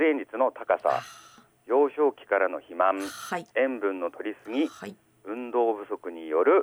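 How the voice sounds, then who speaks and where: A man talks at a fairly slow pace, with a dry, close sound and no echo. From Aomori, Shimokita (Higashidori). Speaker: village health official. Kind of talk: radio interview. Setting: phone call.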